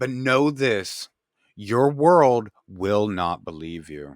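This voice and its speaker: A man's put-on character voice at a medium pitch, very slow pace, in a very clean recording with a silent background. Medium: read story. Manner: solemn, grave.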